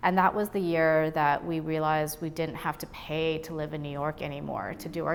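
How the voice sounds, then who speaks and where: A woman at a moderate pace with a very deep, low pitch, in a Boston accent. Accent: American, Boston area. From Boston area (Brookline), moved from Taiwan as young child. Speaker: gallery owner. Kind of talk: interview. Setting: art gallery.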